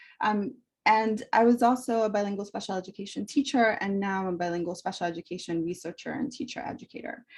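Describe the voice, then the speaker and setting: Very fast, somewhat breathy delivery with ordinary pitch variation. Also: woman, medium pitch for a woman. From immigrant to the US, arrived 1990 as a child. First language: Spanish. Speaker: professor and author. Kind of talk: book talk presentation.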